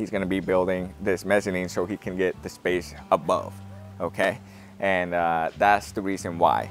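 Faint music plays behind a man whose very deep, low voice stays monotone and flat, recorded dry with no echo. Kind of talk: casual explanatory walkthrough. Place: open country. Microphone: lapel.

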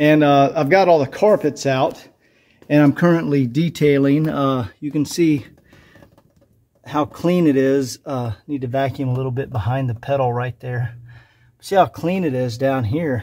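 The voice has a dark, mellow tone and ordinary pitch variation, moving at a moderate pace. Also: man. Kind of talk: casual walkthrough commentary. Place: garage. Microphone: phone near.

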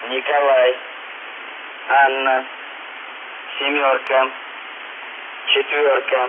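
Very slow speech broken by long, frequent pauses comes in a monotone, flat intonation over noticeable background noise. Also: man, medium pitch for a man. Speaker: radio station announcer. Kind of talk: numbers station message read. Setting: shortwave radio. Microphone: two way radio.

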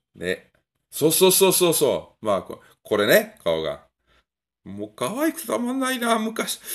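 A man speaks in a relaxed tone at a fairly slow pace, with big swings in loudness. The background stays quiet. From Europe. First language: a European language (speaking Japanese). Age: middle-aged. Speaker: gun review YouTuber. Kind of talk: casual vlog monologue. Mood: relaxed, nostalgic. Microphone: phone near.

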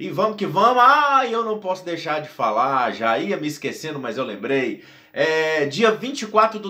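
A man raises and projects his high voice. His tone is animated and his intonation lively. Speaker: DJ and YouTuber. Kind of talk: casual vlog to camera.

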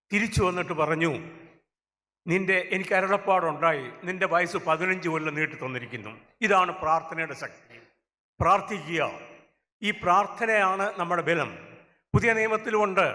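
Pitched high, this man's voice has a bright, sharp tone and ordinary pitch variation. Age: 70s. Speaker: retired judge, public speaker. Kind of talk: speech at a church gathering.

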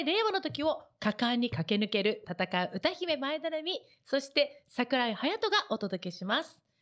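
A woman's high voice with very wide pitch swings against a quiet background. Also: hardly any pauses. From Japan, Kagoshima; Japan. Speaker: radio host and singer; radio show host. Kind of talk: radio talk show. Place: studio. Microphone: studio mic.

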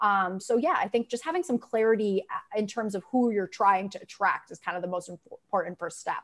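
A woman with an American accent and a plain, everyday voice talks at a fairly quick pace with lively intonation. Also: fairly high pitch for a woman. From Massachusetts (Grafton); Massachusetts. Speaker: veterinary marketing consultant; guest. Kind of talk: casual panel discussion. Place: home room.

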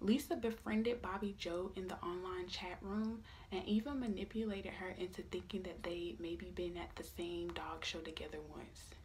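A woman's medium-pitched voice moves at a moderate speed while noticeable noise runs in the background. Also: ordinary pitch variation, hardly any pauses. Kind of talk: true-crime narration read aloud from a script, ASMR style. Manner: a little awkward and apologetic, reading from a script.

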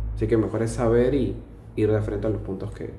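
With a Lima accent, a man speaks at a fairly quick pace amid audible room echo and light background noise. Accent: Peruvian (Lima) Spanish. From Lima, Peru. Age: 20s. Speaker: financial auditor; interviewee. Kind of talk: casual interview monologue. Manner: hesitant, many fillers. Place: home room. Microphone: camera far.

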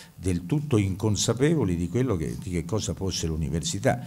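Very deep and low, a man's voice carries vocal fry, a dark, mellow tone and lively intonation at a moderate pace. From Italy. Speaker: university professor and administrator. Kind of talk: welcome address at an event. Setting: stage with audience. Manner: formal. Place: hall. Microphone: podium.

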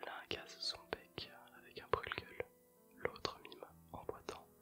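Someone is whispering while faint music plays in the background. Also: man. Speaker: ASMR creator. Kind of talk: poetry reading. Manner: whispered, soft, slow. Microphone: earbuds.

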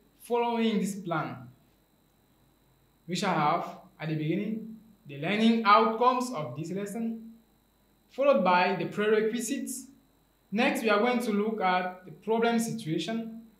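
A high-pitched man at a moderate pace, with long, frequent pauses, big swings in loudness, and audible room echo. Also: quiet background. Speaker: teacher. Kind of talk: lecture. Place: studio.

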